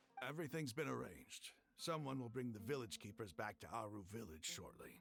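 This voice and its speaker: A man's raspy, put-on character voice at medium pitch, fairly quick and lively in intonation. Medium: video game. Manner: earnest, slightly gruff.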